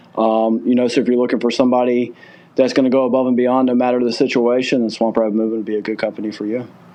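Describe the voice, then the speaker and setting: A man's very fast, monotone delivery in a Southern US accent, flat in intonation and medium in pitch. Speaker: moving company owner. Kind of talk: podcast interview.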